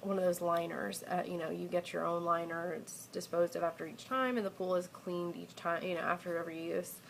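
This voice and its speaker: A woman speaks at a fairly quick pace with hardly any pauses. Her voice is fairly low, with ordinary pitch variation. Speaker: expectant mother. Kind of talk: casual talk to camera.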